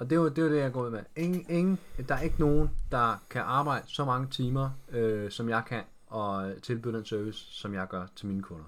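A man with a normal speaking voice, medium in pitch, lively in intonation, at a moderate pace. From Denmark, Roskilde (Zealand). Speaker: fitness trainer, former footballer. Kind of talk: casual interview.

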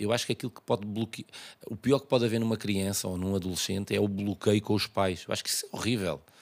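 A man with a fairly low pitch talks at a very fast pace, keeping his intonation fairly even. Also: very clean recording, silent background. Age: 40s. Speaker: tailor. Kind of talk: casual chat.

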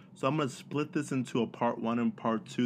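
A man's normal speaking voice with an American accent, medium in pitch, ordinary pitch variation, and a quiet background. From Texas. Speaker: podcast host. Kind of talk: casual chat.

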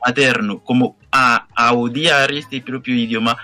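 In a Haitian accent, a man speaks at a fairly slow pace with a medium pitch and a monotone, flat intonation. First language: Haitian Creole (speaking Spanish). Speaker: poet. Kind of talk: interview. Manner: halting.

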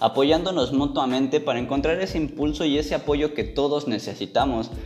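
A man with a Mexican accent speaks at a fairly high pitch and a fairly quick pace. Background noise is noticeable. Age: 20s. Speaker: podcast host, psychologist. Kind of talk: motivational monologue.

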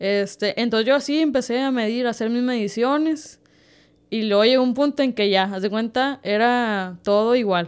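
A woman speaks in a normal speaking voice, fairly high in pitch with ordinary pitch variation, at a moderate pace in a very clean recording with a silent background. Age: 20s. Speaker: baker and bakery owner. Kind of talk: casual interview.

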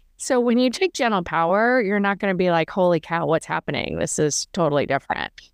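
An ordinary speaking voice from a woman at medium pitch, with lively intonation, a fairly quick pace, hardly any pauses and very even loudness. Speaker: podcast host and yoga teacher. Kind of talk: casual interview.

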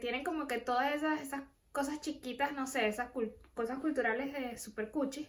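A woman's high-pitched voice moves along at a moderate pace. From Venezuela. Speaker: podcast host. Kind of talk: casual chat.

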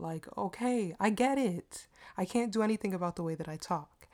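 In a DC area accent, a woman speaks at a moderate pace with a dark, mellow tone and lively intonation. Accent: American, DC area. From Washington DC area, US. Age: 20s. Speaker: podcast host. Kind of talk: casual solo monologue. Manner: casual, chatty, self-deprecating.

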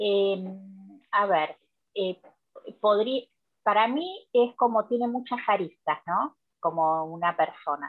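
A woman speaks at a very slow pace with long, frequent pauses, her medium-pitched voice carrying lively intonation. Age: 50s. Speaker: nutrition educator. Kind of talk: interview.

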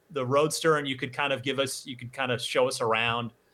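Bright and sharp in tone, a man talks in an American accent. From New Jersey. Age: 40s. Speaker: podcast host. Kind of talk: interview.

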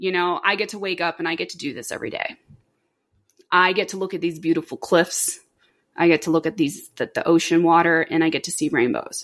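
A woman with an American accent and a plain, everyday voice talks at a fairly quick pace and a fairly low pitch, her intonation fairly even and her loudness swinging widely, on a very clean recording with a silent background. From Florida (Orlando). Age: 30s. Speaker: dental assistant and aspiring pilot. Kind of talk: casual interview. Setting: living room.

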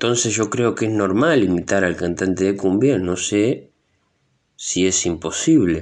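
In a quiet background, a man with an ordinary speaking voice talks at a fairly slow pace, with fairly low pitch and ordinary pitch variation. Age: 20s. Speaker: actor and impressionist podcaster. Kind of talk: solo podcast monologue.

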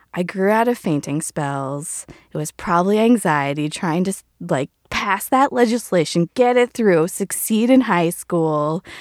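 Her intonation lively and her pace fairly slow, a woman speaks in a dry, close sound with no echo. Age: 30s. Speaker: podcast guest sharing personal story. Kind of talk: personal storytelling, casual.

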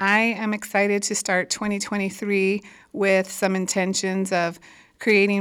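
Here the recording is very clean, the background silent. The woman talking has a medium pitch. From South Tucson, Arizona. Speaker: podcast host. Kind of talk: podcast intro.

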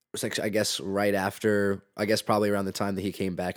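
In a very clean recording with a silent background, a man with a very deep, low pitch talks at a very fast pace. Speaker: podcast host and music student. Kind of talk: casual interview.

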